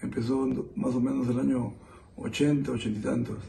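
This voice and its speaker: Audible room echo fills the space. A man talks through it at a fairly slow pace. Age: 60s. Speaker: interviewee, witness of terrorism era. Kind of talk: testimony. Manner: halting.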